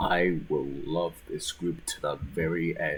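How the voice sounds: At a fairly slow pace, a man speaks with an extremely low pitch and little pitch movement.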